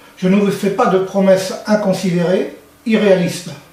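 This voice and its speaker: A man's high-pitched voice with audible room echo and noticeable background noise. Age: 60s. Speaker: local election candidate. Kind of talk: campaign speech. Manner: formal.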